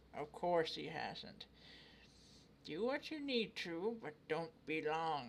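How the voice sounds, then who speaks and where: A man in a put-on character voice with a fairly high pitch speaks very slowly, with lively intonation, long, frequent pauses, and clear background noise. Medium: game stream. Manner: gruff, blunt.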